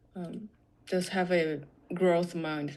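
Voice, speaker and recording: A woman with a non-native accent speaks in a fairly low voice with monotone, flat intonation. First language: not English. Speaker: software developer. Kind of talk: interview. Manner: halting, many fillers.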